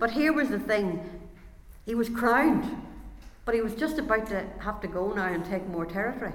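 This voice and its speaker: A woman with a fairly high pitch and lively intonation is heard over noticeable background noise. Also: moderate pace. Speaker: preacher. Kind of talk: sermon. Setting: church.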